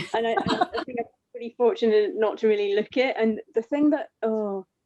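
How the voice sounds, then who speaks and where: Here is a woman with a plain, everyday voice and a fairly high pitch. She talks at a fairly quick pace with lively intonation, in a dry, close sound with no echo. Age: 40s. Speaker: webinar participant. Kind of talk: casual chat.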